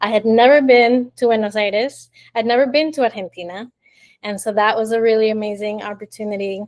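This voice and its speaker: Fairly quick and fairly even in intonation, a woman speaks in an ordinary speaking voice at a fairly high pitch. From Miami, Florida (born in Colombia). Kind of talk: interview answer.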